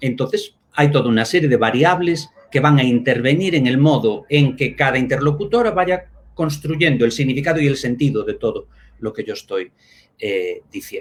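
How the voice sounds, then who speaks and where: Somewhat breathy, a man with a Spanish accent speaks at a fairly high pitch with lively intonation. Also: moderate pace. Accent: Spain (Spanish accent). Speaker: linguistics professor. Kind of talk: academic talk in a live online discussion. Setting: live stream. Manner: halting, with many fillers.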